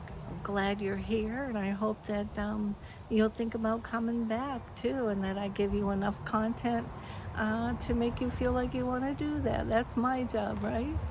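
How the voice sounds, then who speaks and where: A woman speaks at a fairly slow pace. The room around her gives off an audible echo. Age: 70s. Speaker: vlogger. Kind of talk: casual chat. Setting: outdoors. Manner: halting.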